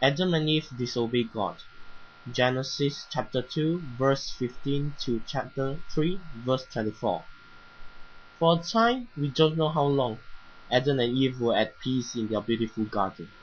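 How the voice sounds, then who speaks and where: Somewhat breathy, a man speaks at medium pitch and a fairly slow pace, with ordinary pitch variation. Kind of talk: bedtime Bible story reading for children.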